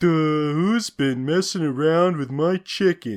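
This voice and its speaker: In a cartoonish character voice of middle pitch, the speaker goes at a fairly slow pace against a quiet background. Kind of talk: generic cartoon voice. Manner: dumb, goofy.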